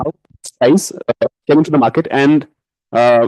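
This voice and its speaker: A man speaks in a dark, mellow tone, pitched fairly high for a man. The sound is dry and close, with no echo. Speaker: student asking a question. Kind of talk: audience question. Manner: hesitant.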